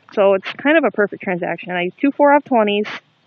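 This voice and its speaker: A woman's fairly high voice at a fairly quick pace. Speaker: couponing vlogger. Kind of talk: casual vlog. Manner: fast.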